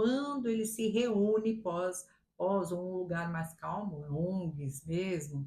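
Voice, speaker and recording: This is a woman talking. Her pitch is medium. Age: 60s. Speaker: retired teacher. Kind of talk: interview. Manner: halting.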